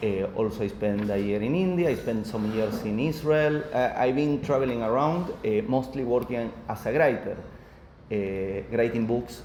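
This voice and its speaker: With an Argentine accent, a man speaks at a medium pitch and moderate pace, with ordinary pitch variation and audible room echo. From Argentina. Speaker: author. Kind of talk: book presentation talk. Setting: live audience at a coworking space. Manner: halting.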